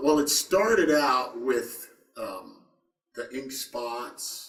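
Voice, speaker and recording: Speaking at a very slow pace in an American accent, a man uses lively intonation and big swings in loudness. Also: fairly high pitch for a man. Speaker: rock singer. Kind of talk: interview. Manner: hesitant, many fillers.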